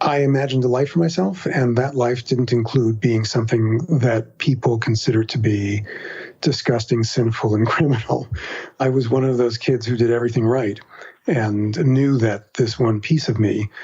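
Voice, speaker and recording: Over noticeable background noise, a man with an American accent speaks at a moderate pace and medium pitch, his loudness very even and his intonation fairly even. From New York City, Queens. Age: 60s. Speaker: writer and podcaster. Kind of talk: interview.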